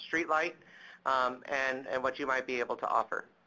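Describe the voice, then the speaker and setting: Using fairly even intonation, a man speaks in a bright, sharp tone. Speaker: webinar moderator. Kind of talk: webinar moderation. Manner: loud.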